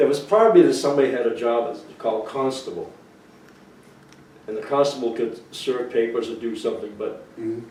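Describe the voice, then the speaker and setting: Noticeable background noise runs under this recording. A man speaks at a fairly quick pace with an American accent. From Cape Cod, Massachusetts. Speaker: oral history interviewee. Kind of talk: interview answer.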